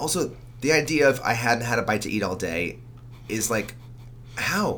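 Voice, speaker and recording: Moderate-paced speech from a man, with long, frequent pauses and audible room echo. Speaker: podcast co-host. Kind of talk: casual chat.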